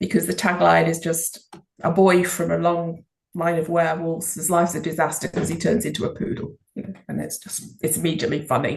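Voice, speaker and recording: This woman talks at a fairly quick pace with an English accent. Her pitch is fairly low, and vocal fry comes through. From England, Liverpool. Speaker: children's author. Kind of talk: interview.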